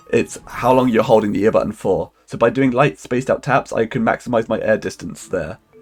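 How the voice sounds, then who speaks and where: Over music in the background, a man talks at a fairly quick pace with hardly any pauses. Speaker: speedrunner. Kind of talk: gameplay commentary.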